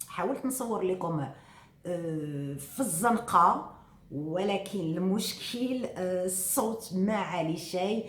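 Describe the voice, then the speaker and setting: With a Moroccan accent, a woman at medium pitch talks at a very slow pace with ordinary pitch variation, amid noticeable background noise and audible room echo. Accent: Moroccan Arabic (Darija). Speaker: vlogger. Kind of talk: casual vlog talk to viewers. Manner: soft-spoken; hesitant fillers.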